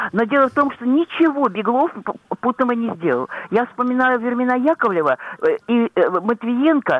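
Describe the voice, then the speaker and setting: Her pitch sits high. The woman keeps a moderate pace. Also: lively intonation. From St. Petersburg, Russia. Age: 80s+. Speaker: pensioner caller. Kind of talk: call-in complaint.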